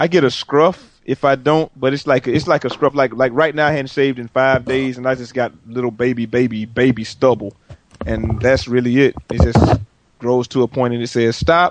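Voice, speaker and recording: A normal speaking voice from a man, medium in pitch, moderate in pace, with fairly even intonation and a dry, close sound with no echo. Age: 30s. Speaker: podcast guest, gamer. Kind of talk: casual chat.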